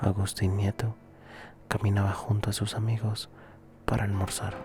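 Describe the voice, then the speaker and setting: Background music accompanies speech delivered at a moderate pace. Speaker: ASMR channel host reading a history story. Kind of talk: soft-spoken ASMR history narration. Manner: soft-spoken, whispered.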